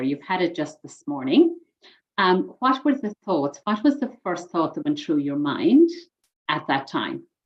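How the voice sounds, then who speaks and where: A woman's medium-pitched voice in an Irish accent, at a fairly slow pace with very wide pitch swings. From Ireland. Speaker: mind coach and trainer. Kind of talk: coaching session.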